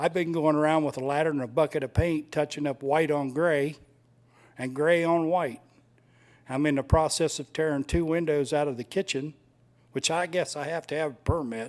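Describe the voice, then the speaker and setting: At a moderate pace, a man speaks in a normal speaking voice, fairly high and with fairly even intonation, on a very clean recording with a silent background. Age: 60s. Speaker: resident speaking at public comment. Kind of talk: public comment at a city meeting. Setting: city commission meeting.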